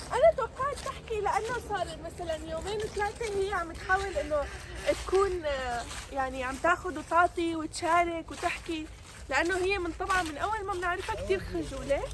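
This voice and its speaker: An extremely high-pitched woman's voice with lively intonation at a moderate pace, over noticeable background noise. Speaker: vlogger. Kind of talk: casual chat.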